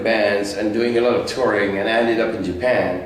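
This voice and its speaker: Audible room echo and noticeable background noise surround a man who talks at a fairly quick pace. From France (Paris). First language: French. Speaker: guitarist. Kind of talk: interview. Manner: halting.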